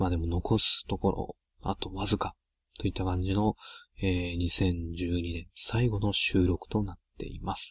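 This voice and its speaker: A quiet, somewhat breathy man speaks at a fairly slow pace in a very deep, low pitch with monotone, flat intonation. The sound is dry and close with no echo, in a very clean recording with a silent background. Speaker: solo gaming podcaster. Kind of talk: casual solo monologue. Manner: quiet, subdued because of a late-night recording.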